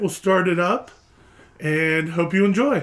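The speaker is a man with an American accent. Noticeable background noise is present. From Pennsylvania. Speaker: podcast host. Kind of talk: casual interview. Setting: studio.

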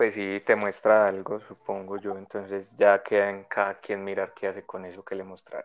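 Speaking at a moderate pace with hardly any pauses, a man with a fairly low voice keeps a monotone, flat intonation while his loudness swings widely. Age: 20s. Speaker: podcast co-host. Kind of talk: casual chat.

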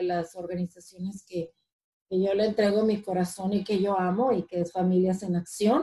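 A woman speaks in a medium pitch. Her intonation is fairly even. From Mexico (Ciudad Obregón, Sonora). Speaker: community organizer. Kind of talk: interview. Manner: halting, many repetitions and fillers.

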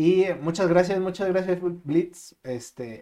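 Talking at a fairly slow pace, a man has a dark, mellow tone. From Mexico City. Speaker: podcast co-host. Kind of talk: casual chat.

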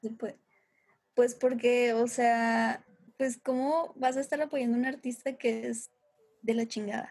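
Her voice high in pitch and her intonation flat and monotone, a woman speaks at a fairly slow pace with long, frequent pauses. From Torreón, Coahuila, northern Mexico. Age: 20s. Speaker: musician and film student. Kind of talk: casual chat.

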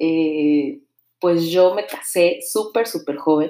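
Very deep and low, a woman's voice carries a Mexico City accent and a dark, mellow tone. She moves at a very slow pace with ordinary pitch variation. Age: 30s. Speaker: podcast host, mother and singer. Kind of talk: casual monologue.

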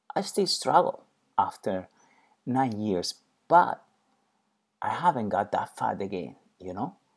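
Someone with a Spanish accent speaks at a very slow pace in a very clean recording with a silent background. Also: man. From Spain. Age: 40s. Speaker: podcast host and personal trainer. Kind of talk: personal monologue. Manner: halting.

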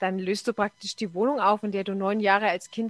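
A woman with a plain, everyday voice and a medium pitch talks at a moderate pace in a dry, close sound with no echo. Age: 40s. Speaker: bus driver and blogger. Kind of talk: casual chat.

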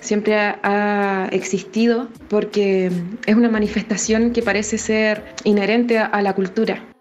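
Noticeable background noise runs under this recording. A woman speaks at a fairly high pitch with fairly even intonation. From Chile, La Serena. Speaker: actress and theatre director. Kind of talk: interview testimony.

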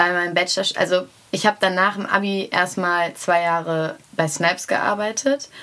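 Pitch moves in an ordinary way. The voice sounds bright and sharp. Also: woman, medium pitch for a woman, moderate pace. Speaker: rapper and singer. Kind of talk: interview.

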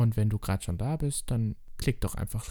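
Somewhat breathy, a man talks in a dark, mellow tone. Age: 20s. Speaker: drag queen and podcast host. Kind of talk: casual solo podcast monologue.

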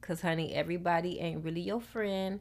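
The woman's pitch is fairly low. The recording is very clean, with a silent background. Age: 30s. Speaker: podcast host. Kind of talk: casual monologue. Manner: animated.

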